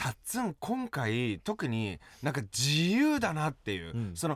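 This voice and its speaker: On a very clean recording with a silent background, a man speaks fairly slowly in a fairly high voice with very wide pitch swings. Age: 40s. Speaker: actor and stage MC. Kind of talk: casual chat; scripted pep talk.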